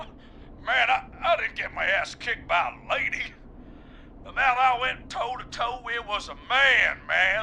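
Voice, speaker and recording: A man puts on a drawling character voice at an extremely high pitch, speaking at a fairly slow pace with lively intonation over clear background noise. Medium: video game. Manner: casual, drawling, says "man" a lot.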